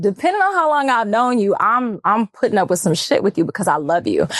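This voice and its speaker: Talking at a fairly quick pace, a woman with an American accent uses lively intonation. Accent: country-sounding. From Texas. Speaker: model. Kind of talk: casual chat.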